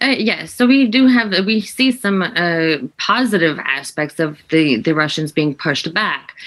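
Over noticeable background noise, a woman with a fairly low voice speaks at a fairly slow pace, her pitch swinging very widely. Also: hardly any pauses. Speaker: defence consultant. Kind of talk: news interview. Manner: halting.

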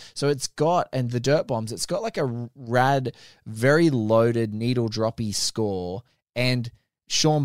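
An Australian-accented man speaks at a fairly slow pace and medium pitch with ordinary variation. The sound is dry and close with no echo, a very clean recording on a silent background. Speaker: film podcaster. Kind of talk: casual chat. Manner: animated.

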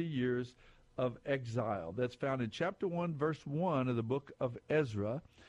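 With an American accent and lively intonation, a man talks at a moderate pace in a medium pitch. His is an ordinary speaking voice. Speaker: radio quiz show host. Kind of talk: call-in Bible quiz show. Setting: studio. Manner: warm, conversational.

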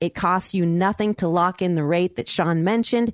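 In a dry, close sound with no echo, a woman has an ordinary speaking voice with ordinary pitch variation. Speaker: radio host. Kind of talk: radio show host, with ad reads.

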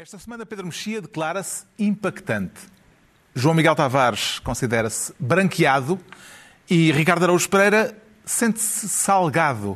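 A man talks at a high pitch and moderate pace, with very wide pitch swings and big swings in loudness. Behind him the background is quiet. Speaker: panel show moderator. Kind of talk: panel discussion.

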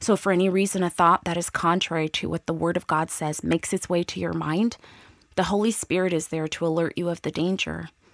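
The sound is dry and close, with no echo. A woman with a plain, everyday voice and a fairly low pitch speaks at a moderate pace with fairly even intonation. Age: 40s. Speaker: women's ministry speaker. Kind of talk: devotional teaching.

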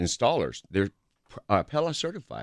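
A man speaks at a moderate pace with vocal fry and very wide pitch swings. The recording is very clean and dry, close, with a silent background and no echo. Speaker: window salesperson. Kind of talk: casual radio interview. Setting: radio studio.

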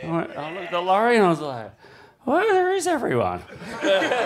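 With an Australian accent, a man talks at a fairly quick pace over noticeable background noise, his words carrying an audible room echo. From Australia, Cronulla. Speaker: big wave surfer. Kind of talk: live show storytelling. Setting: stage with audience.

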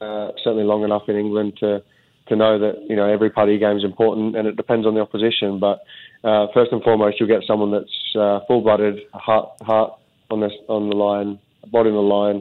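Fairly quick and fairly low in pitch, a man speaks with an Australian accent and monotone, flat intonation. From Australia (Melbourne). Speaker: professional footballer. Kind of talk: interview. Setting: phone call. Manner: halting, with many fillers and repeated words.

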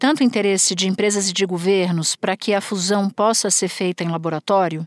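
In a dry, close sound with no echo on a very clean recording with a silent background, a woman with a plain, everyday voice speaks fairly quickly at a medium pitch. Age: 40s. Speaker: podcast host, journalist. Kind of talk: interview.

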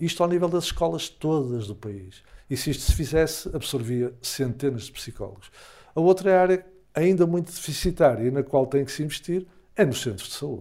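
A man with a fairly high, dark and mellow voice speaks at a moderate pace with lively intonation and big swings in loudness. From Portugal, Porto area (Gaia). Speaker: psychologist and academic. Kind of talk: interview.

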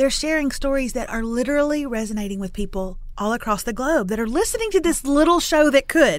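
With an East Texas accent, a woman speaks at a fairly quick pace in a high, animated voice with lively intonation. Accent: East Texas Southern. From East Texas (Lufkin). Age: 40s. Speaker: author and video creator. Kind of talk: interview.

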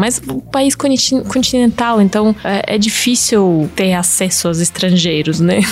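With a Russian accent, a woman speaks at a fairly slow pace in a medium pitch, her pitch varying in an ordinary way, over noticeable background noise. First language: Russian (speaking Portuguese). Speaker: YouTuber. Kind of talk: casual interview chat.

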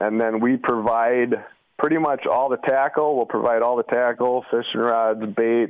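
With a Wisconsin accent, a man speaks at a medium pitch and moderate pace. His loudness stays very even and his intonation fairly even. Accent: Upper Midwest (Wisconsin). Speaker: fishing charter captain. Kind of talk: interview. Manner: casual, with filler words.

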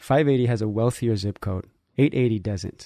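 In an American accent, a man speaks with a dark, mellow tone and ordinary pitch variation, the sound dry and close with no echo and the background quiet. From San Francisco, US. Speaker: critical race theory instructor in medicine. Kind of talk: radio interview.

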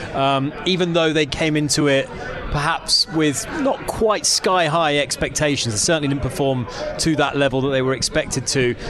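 Noticeable background noise behind a man with a fairly high pitch, ordinary pitch variation and very even loudness, at a moderate pace. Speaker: radio host. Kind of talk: casual chat. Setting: studio.

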